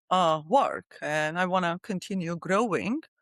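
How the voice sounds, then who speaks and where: A woman with a Georgian accent speaks at a fairly low pitch with lively intonation. The sound is dry and close with no echo, on a very clean recording with a silent background. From Republic of Georgia. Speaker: company CEO and founder. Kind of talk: podcast interview. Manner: hesitant, many fillers.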